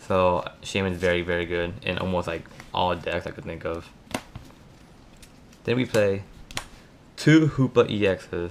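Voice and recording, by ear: A man speaks at a low pitch and a fairly slow pace. His pauses are long and frequent. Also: ordinary pitch variation.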